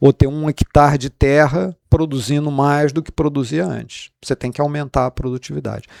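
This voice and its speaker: The voice carries a Rio de Janeiro accent at a moderate pace with ordinary pitch variation and hardly any pauses. Loudness swings widely, and the sound is dry and close with no echo. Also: man, fairly high pitch for a man. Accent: Rio de Janeiro (carioca) accent, kept. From Rio de Janeiro, Brazil. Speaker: economics professor. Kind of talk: interview. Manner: hesitant, repeats words.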